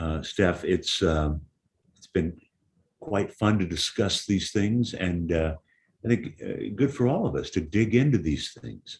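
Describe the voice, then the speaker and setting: Lively intonation runs through this somewhat breathy voice. The delivery is fairly slow. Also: man. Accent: American. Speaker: music manager. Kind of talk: casual chat.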